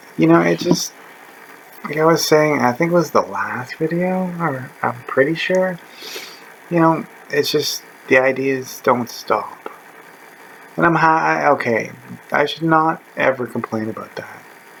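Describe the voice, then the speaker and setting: A man speaks at a fairly slow pace with long, frequent pauses. Noticeable background noise can be heard. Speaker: vlogger. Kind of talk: casual monologue. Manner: rambling, hesitant; loud.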